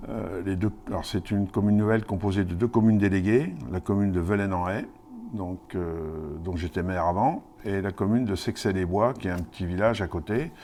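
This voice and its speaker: A man's dark, mellow, fairly low-pitched voice at a fairly quick pace. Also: ordinary pitch variation. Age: 60s. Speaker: mayor. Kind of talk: interview. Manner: hesitant, many fillers.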